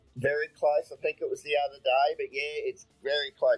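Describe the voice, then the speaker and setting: Music in the background beneath a man's moderately paced speech. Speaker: podcast co-host. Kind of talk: casual chat. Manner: halting, many fillers.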